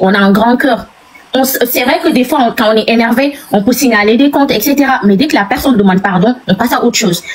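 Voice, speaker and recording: With a Senegalese accent, a woman speaks very fast at a fairly high pitch. Her intonation is lively, and background noise is noticeable. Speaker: guest on a live stream. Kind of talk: heated debate. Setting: live video stream. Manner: animated.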